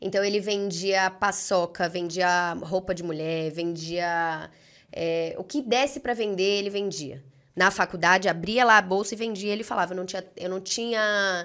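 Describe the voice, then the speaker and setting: With a quiet background, a woman talks at a moderate pace, her pitch varying in an ordinary way. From Brazil, Brasília and São Paulo. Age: 20s. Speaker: entrepreneur; podcast guest. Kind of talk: podcast interview. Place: studio. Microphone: studio mic.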